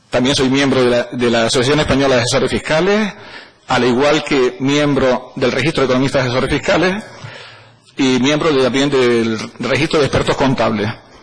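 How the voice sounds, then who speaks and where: Fairly quick speech with ordinary pitch variation and noticeable background noise. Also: man, medium pitch for a man, very even loudness. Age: 60s. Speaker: auditor and economist, parliamentary candidate. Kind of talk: formal parliamentary hearing presentation. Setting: parliamentary committee.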